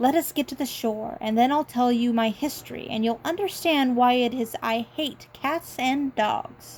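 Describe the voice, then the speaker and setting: A woman puts on a shaky character voice with a high pitch. She talks at a moderate pace with hardly any pauses. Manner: fearful, subdued.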